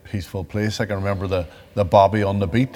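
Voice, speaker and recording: This man has a very deep, low voice and a Northern Irish accent. His intonation stays fairly even. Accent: Derry Northern Irish. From Northern Ireland, Derry. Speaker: victim of the Troubles turned peace advocate. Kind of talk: interview testimony.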